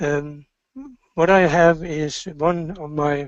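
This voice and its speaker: A man with a Norwegian accent. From Norway. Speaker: business executive. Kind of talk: motivational talk. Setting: webinar. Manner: halting.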